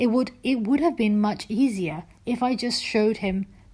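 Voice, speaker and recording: A woman speaks at a moderate pace in a medium pitch. Her voice is somewhat breathy, with lively intonation. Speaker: YouTuber and religious debater. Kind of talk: personal vlog monologue. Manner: hesitant.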